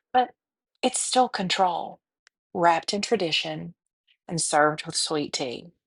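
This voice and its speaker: With very wide pitch swings, a woman in a Southern US accent speaks at a fairly slow pace, the sound dry and close with no echo. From US South. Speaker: podcast host. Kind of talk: scripted podcast monologue.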